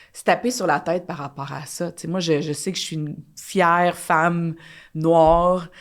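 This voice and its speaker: In a Quebec accent, a woman speaks with fairly even intonation but big swings in loudness. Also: fairly low pitch for a woman, moderate pace. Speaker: dancer and choreographer. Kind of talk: casual chat.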